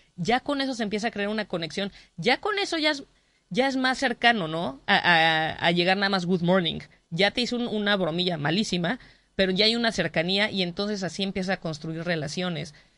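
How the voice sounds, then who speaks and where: Speaking at a fairly quick pace with a medium pitch, a woman uses lively intonation and a bright, sharp tone, in a dry sound with no echo and a quiet background. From Mexico. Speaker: comedian. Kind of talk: interview. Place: studio.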